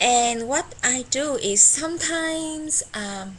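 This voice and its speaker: A woman's high voice with ordinary pitch variation amid noticeable background noise. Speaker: tourism worker. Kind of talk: casual talk to camera.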